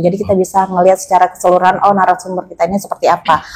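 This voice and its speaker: This is a woman speaking at a medium pitch. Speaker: wedding and event MC. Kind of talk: interview conversation.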